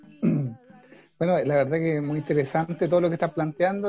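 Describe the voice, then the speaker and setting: This man's voice is high in pitch. Noticeable background noise is present. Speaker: community leader and radio host. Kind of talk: radio interview. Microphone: dropped connection during the call.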